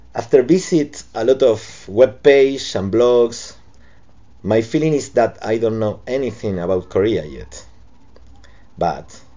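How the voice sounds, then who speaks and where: A man with a Spanish accent talks fairly slowly in a medium pitch, with lively intonation. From Argentina, Buenos Aires. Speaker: cartoonist. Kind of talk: reading aloud a prepared statement. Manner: halting non-native English.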